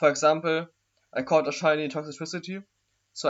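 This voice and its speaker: A man talks in a fairly high pitch. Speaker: gaming youtuber. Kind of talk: casual chat. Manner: fast; animated.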